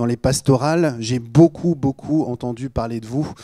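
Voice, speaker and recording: A man's fairly high, dark, mellow voice with a slight Normandy accent and a dry, close sound with no echo. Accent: slight Normandy accent, rather clipped. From Normandy, Rouen. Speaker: pastor. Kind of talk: sermon. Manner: casual, joking.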